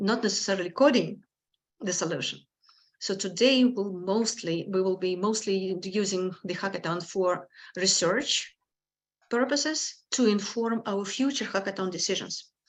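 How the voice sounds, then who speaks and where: A woman with a strong non-native accent at a moderate pace. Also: medium pitch for a woman, ordinary pitch variation, quiet background. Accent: strong foreign. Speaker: hackathon organizer. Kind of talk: event introduction.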